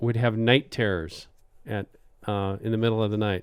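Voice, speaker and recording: A man speaks with a Wisconsin accent. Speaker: podcast host. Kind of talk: casual chat.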